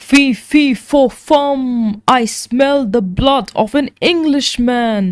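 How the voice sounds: A woman uses a put-on character voice, high in pitch and delivered at a very slow pace.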